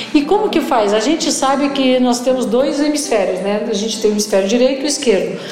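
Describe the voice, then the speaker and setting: A woman speaks very fast with hardly any pauses, her high voice full of lively intonation. Audible room echo and noticeable background noise surround her. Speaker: podcast host. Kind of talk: interview conversation.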